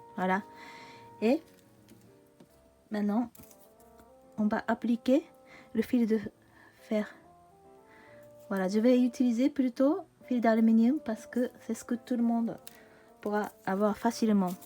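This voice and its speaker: With music in the background, a woman with a Japanese accent speaks at a very slow pace, taking long, frequent pauses. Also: ordinary pitch variation. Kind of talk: craft tutorial talk to camera. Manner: casual, hesitant.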